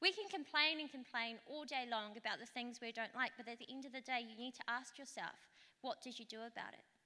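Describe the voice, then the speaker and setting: Quick and fairly fast-paced, a woman with a New Zealand accent projects a raised, high, bright and sharp voice full of lively intonation. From Rotorua, New Zealand. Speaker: local councillor. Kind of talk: conference talk.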